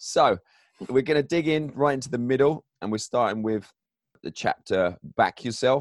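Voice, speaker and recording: A man with an American accent at medium pitch and a moderate pace, ordinary pitch variation, dry and close sound with no echo. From England. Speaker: author and mindset coach. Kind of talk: interview conversation; reading aloud from own book. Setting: home basement, remote recording.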